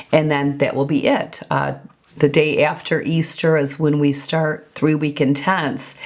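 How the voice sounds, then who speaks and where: The woman's pitch is very deep and low. She talks at a fairly slow pace over noticeable background noise. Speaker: lifestyle and fitness vlogger. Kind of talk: casual vlog talk. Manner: conversational with fillers.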